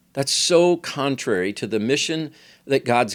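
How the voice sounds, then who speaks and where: Recorded very cleanly against a silent background, a man with an unremarkable speaking voice talks at a moderate pace and medium pitch, his intonation lively. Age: 60s. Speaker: pastor and podcast host. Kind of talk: sermon-style teaching podcast.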